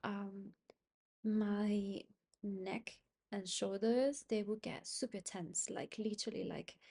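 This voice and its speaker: Somewhat breathy and dark, mellow in tone, a woman's medium-pitched voice moves very slowly with fairly even intonation. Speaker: self-help vlogger. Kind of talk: personal reflective monologue. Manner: halting, many fillers; higher pitch with new people, neutral tone when comfortable.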